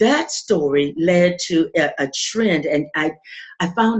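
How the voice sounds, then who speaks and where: The voice belongs to a woman and is somewhat breathy. It sits at a medium pitch. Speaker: podcaster. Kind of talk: interview answer.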